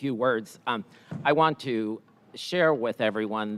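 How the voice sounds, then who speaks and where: Here is a man with a medium pitch and an unremarkable speaking voice. He keeps a moderate pace and fairly even intonation. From immigrant, came to US at nine. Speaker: school superintendent. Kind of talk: formal remarks at school board meeting.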